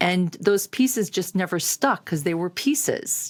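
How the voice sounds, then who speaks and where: Lively intonation and a moderate pace in an ordinary speaking voice, captured on a very clean recording against a silent background. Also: woman. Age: 60s. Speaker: productivity coach. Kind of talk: personal testimony to camera. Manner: conversational, filler-heavy.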